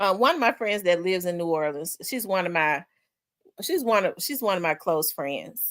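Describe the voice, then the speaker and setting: In a Memphis accent, a woman speaks at a fairly low pitch with ordinary pitch variation. The recording is very clean, with a silent background. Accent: deep Memphis drawl. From US South, Memphis. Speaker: livestream host. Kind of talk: casual chat.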